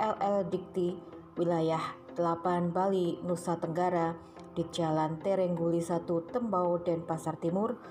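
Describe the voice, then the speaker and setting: Music plays in the background as a woman speaks at a moderate pace. Her loudness stays very even and her intonation is monotone and flat. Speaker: news narrator. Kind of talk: news report voice-over.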